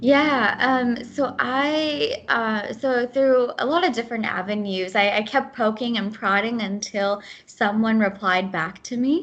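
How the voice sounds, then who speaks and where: The woman's pitch is fairly high with ordinary variation. She talks at a fairly slow pace with hardly any pauses. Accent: Midwestern US. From US Midwest, Ohio. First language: Gujarati. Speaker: program manager. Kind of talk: podcast interview.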